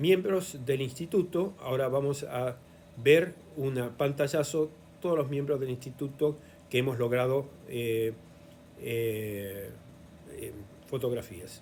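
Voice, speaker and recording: Long, frequent pauses break up very slow speech with ordinary pitch variation and audible room echo. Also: man, fairly high pitch for a man. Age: 70s. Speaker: historian and lecturer. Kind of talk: lecture. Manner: halting, frequent fillers.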